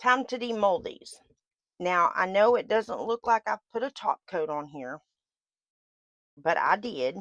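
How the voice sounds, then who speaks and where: In an American accent, a woman speaks at a fairly slow pace with vocal fry, very wide pitch swings and long, frequent pauses. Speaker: resin artist, craft video creator. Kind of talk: casual tutorial / crafting vlog. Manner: casual, halting with fillers.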